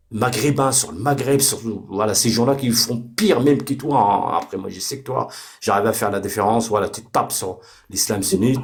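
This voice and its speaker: A man's animated, somewhat breathy voice comes with big swings in loudness. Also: medium pitch for a man, ordinary pitch variation, fairly quick pace. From Morocco. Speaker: debate participant. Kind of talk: heated debate. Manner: halting, many repetitions and fillers.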